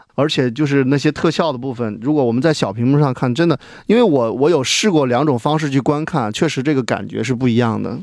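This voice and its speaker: A man with a medium pitch talks at a very fast pace, with hardly any pauses. His pitch varies in an ordinary way over a quiet background. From China. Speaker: film director. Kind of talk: casual chat. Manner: hesitant, many fillers.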